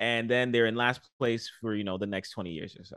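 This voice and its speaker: A man speaks at a moderate pace. He has a New York accent. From New York, the Bronx. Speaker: podcast host. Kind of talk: casual chat.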